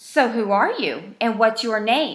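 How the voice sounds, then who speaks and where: A woman puts on a character voice with fairly high pitch. She delivers it at a fairly slow pace. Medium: read story. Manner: firm, bold.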